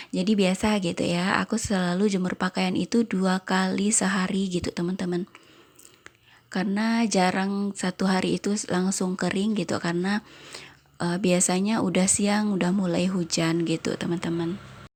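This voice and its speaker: A woman speaks at a moderate pace and medium pitch. Her intonation is monotone and flat, her loudness very even. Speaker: homemaker vlogger. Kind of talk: voice-over narration. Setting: home. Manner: casual.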